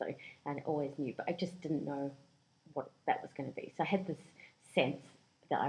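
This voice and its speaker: A woman with a New Zealand accent speaks very deep and low, in a dark, mellow tone with fairly even intonation, at a fairly quick pace with long, frequent pauses. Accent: New Zealand accent picked up there. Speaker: career coach. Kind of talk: podcast interview.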